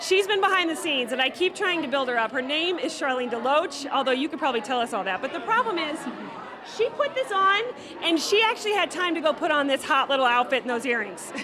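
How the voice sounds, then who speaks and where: Raising and projecting her high voice, a woman talks very fast with very wide pitch swings, with audible room echo and crowd noise in the background. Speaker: blogger hosting event walkthrough. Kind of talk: casual event interviews. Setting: live event venue. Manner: loud; animated.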